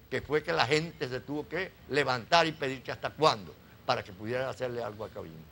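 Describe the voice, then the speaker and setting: A man's bright, sharp tone at a fairly quick pace. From Venezuela, Zulia (Cabimas). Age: 80s+. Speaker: retired oil worker. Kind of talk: interview.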